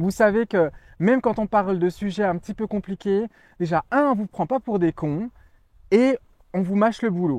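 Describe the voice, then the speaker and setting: A man with a high voice speaks loudly, with ordinary pitch variation and long, frequent pauses. The sound is dry and close with no echo, against a quiet background. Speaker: magazine editor and video host. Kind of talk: promotional monologue. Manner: fast.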